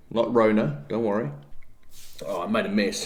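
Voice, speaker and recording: Audible room echo around a man's voice, its pitch varying in an ordinary way. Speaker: fitness YouTuber. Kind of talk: casual vlog talk. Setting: home, kitchen then office. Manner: animated.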